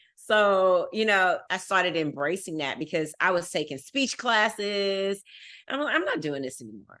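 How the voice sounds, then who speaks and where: Intonation is lively in a Texas accent. The pace stays moderate. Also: woman, medium pitch for a woman. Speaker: fundraising professional. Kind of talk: casual interview chat.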